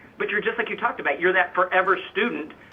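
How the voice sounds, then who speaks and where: There is noticeable background noise behind a man speaking. His pitch is high and his tone animated. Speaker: fitness coach and motivational speaker. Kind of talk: interview, motivational talk. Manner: fast.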